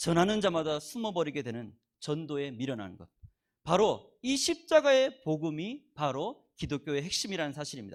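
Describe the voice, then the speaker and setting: In a very clean recording with a silent background, a man's voice swings very widely in pitch. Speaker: guest preacher. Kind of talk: sermon. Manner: fast.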